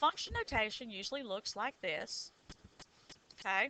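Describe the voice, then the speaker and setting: Speaking at a fairly slow pace, a woman with a Southern US accent sounds bright, sharp and animated at a fairly high pitch. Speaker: high school math teacher. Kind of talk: tutorial.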